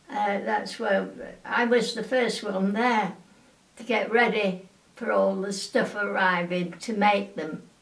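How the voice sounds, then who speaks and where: A woman's medium-pitched voice at a very slow pace with fairly even intonation, over noticeable background noise. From England. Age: 80s+. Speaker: wartime aircraft factory worker. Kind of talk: oral history interview answer.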